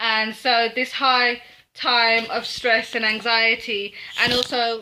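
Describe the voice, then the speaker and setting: The speaker is a woman. She talks with monotone, flat intonation. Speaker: book reviewer. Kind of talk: casual video review. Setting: home office. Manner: loud, projecting; hesitant, many fillers. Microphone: poor sound quality.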